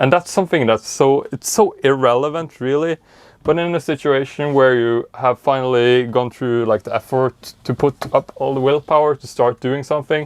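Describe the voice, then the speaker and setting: A man with a medium-pitched voice mumbles against a quiet background. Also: moderate pace, dry, close sound with no echo. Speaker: organizing YouTuber. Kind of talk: casual vlog tutorial. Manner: mumbling; energetic.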